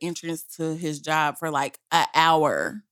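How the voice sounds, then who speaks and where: A woman speaks at a fairly slow pace in a fairly low pitch. Her tone is bright and sharp. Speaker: podcast co-host. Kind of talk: casual chat.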